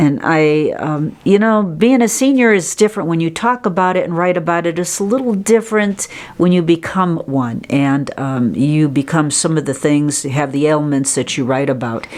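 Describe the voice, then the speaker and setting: Through noticeable background noise, a woman talks at a moderate pace with hardly any pauses, her fairly low pitch moving in very wide swings. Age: 70s. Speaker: newspaper publisher. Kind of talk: podcast interview.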